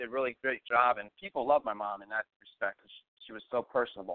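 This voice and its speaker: A man talking at a very fast pace. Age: 40s. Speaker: radio host. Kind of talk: live radio talk show.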